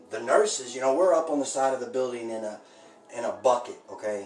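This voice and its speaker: A man with a slight Southern US accent speaks with ordinary pitch variation. Audible room echo and noticeable background noise are present. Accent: slight drawl. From Indianapolis, Indiana. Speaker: home cooking streamer. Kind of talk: casual live-stream chat while baking. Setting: live stream. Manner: halting, many fillers.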